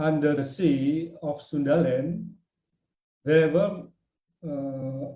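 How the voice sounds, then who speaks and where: With an Indonesian accent, a man speaks at a fairly slow pace in a fairly high, somewhat breathy voice with a dark, mellow tone and fairly even intonation. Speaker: researcher presenting at a webinar. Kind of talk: lecture. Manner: halting.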